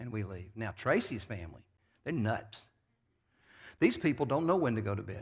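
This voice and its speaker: With a very clean recording and silent background, a man with an American accent speaks at a medium pitch and moderate pace, somewhat breathy, with lively intonation, big swings in loudness and long, frequent pauses. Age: 60s. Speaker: pastor. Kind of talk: sermon.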